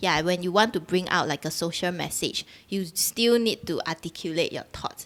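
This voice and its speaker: A woman's fairly low voice in a Singaporean accent, with ordinary pitch variation, on a very clean recording with a silent background. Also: moderate pace. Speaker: dancer and choreographer. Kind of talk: casual chat. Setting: live-streamed video podcast.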